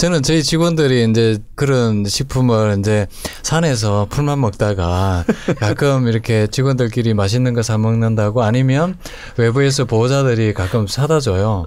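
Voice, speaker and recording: Moderate-paced speech from a man at a medium pitch, with very even loudness, ordinary pitch variation and noticeable background noise. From southeastern Korea (Gyeongsang).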